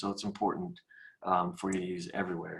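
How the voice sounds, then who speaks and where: At a fairly quick pace, a man with an American accent speaks at a fairly low pitch with lively intonation. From US Midwest, Kansas City. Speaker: mortgage professional. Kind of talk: webinar presentation. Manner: fast.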